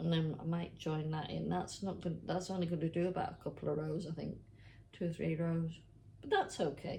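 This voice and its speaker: Audible room echo around a woman talking at a fairly quick pace. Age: 60s. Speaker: knitting vlogger. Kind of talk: casual chat. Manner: chatty, hesitant.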